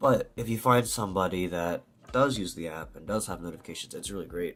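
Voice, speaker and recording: A man with an American accent talks at a very fast pace in a fairly low pitch, showing ordinary pitch variation and big swings in loudness. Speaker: language learner vlogger. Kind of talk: casual vlog talk. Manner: casual, hesitant with fillers.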